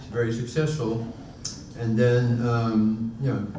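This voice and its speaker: Audible room echo surrounds a man speaking at medium pitch and a moderate pace. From Netherlands, Utrecht. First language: Dutch. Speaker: honorary consul, panelist. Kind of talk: panel discussion. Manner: halting, many fillers and restarts.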